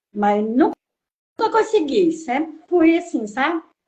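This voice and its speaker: A woman speaks at a fairly slow pace. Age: 60s. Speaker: follower, interviewee. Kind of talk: interview.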